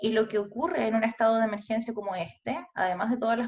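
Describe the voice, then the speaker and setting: A woman's fairly high, somewhat breathy voice. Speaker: psychologist and researcher on ageing. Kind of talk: webinar lecture. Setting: online webinar. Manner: fast.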